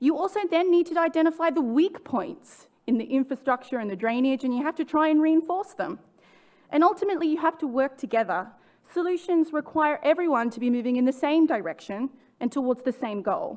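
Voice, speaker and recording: A woman with an Australian accent speaks at a fairly quick pace with a high pitch and lively intonation. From Australia, suburbs of Sydney. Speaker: sustainability director. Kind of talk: conference talk. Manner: some restarts and stumbles.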